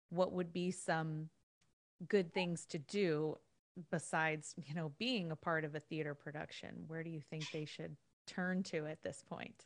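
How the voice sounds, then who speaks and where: Against a quiet background, a woman with a very deep, low voice speaks at a fairly slow pace with fairly even intonation. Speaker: podcast host and singing teacher. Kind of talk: casual interview.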